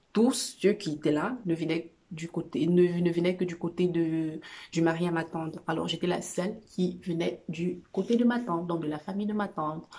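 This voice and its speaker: A woman with a dark, mellow tone talks at a moderate pace, her fairly low pitch showing ordinary variation. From Cameroon. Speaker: vlogger sharing personal experience. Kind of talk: personal testimony vlog. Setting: at home on a couch. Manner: halting, many fillers.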